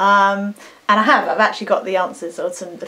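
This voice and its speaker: Over noticeable background noise, a woman with an English accent speaks fairly quickly at a medium pitch. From England. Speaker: singer and vocal coach. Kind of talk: casual talk to camera. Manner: chatty, rambling.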